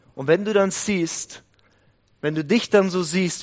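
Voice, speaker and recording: At a fairly slow pace, this man talks in a normal speaking voice whose pitch varies in an ordinary way. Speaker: prayer house leader and guest preacher. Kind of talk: sermon.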